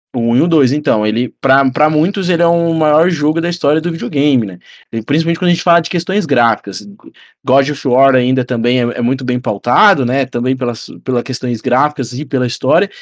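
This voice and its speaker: An ordinary speaking voice at a fairly quick pace, with ordinary pitch variation over a quiet background. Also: man, fairly high pitch for a man. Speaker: football podcast co-host. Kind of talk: casual chat.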